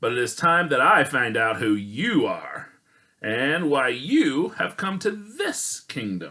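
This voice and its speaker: A man talks at a fairly slow pace, fairly high in pitch, in a put-on character voice. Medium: read story. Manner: sly, feigned friendliness.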